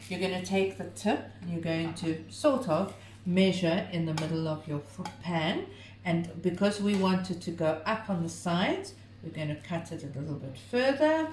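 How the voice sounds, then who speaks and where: A woman with a fairly low pitch speaks at a moderate pace with lively intonation, with light background noise and audible room echo. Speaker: home cooking video host. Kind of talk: cooking tutorial; casual chat. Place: home room. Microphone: camera far.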